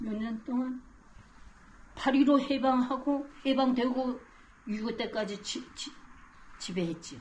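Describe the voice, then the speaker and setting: The speech moves at a very slow pace, broken by long, frequent pauses. Loudness swings widely, with ordinary pitch variation. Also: woman, high pitch for a woman. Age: 80s+. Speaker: Korean War survivor. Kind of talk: interview answer.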